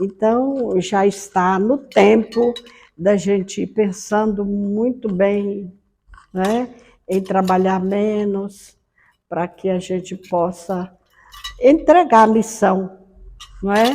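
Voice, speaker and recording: Using a dark, mellow tone and fairly even intonation, a woman speaks at a medium pitch and a very slow pace with long, frequent pauses. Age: 70s. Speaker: Umbanda spiritual leader. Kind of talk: personal life testimony. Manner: unhurried, conversational with frequent né.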